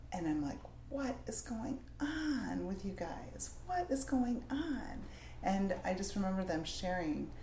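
A woman speaks at a fairly slow pace while noticeable background noise carries on. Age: 50s. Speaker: counseling nonprofit executive director. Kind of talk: interview.

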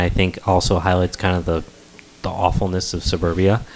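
A man's very deep, low voice at a very fast pace, over noticeable background noise. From New England. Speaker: podcast host. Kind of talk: casual chat. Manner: casual, profane.

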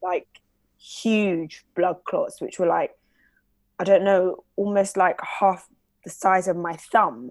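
In a London accent, the speaker goes very slowly with long, frequent pauses and fairly even intonation, on a very clean recording with a silent background. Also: woman, medium pitch for a woman. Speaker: radio presenter and reporter. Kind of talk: interview testimony.

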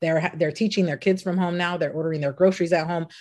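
A woman's dark, mellow voice, fairly low in pitch, with a West Coast accent. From Los Angeles. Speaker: entrepreneur. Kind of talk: interview. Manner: animated.

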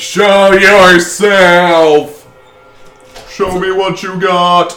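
Put on as a character voice, this middle-pitched delivery crawls along at a very slow pace with monotone, flat intonation while faint music plays in the background. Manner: very loud.

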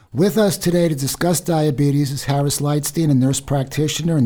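A man talks fairly quickly in a somewhat breathy voice with a dark, mellow tone. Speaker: radio host. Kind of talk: radio interview. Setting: studio.

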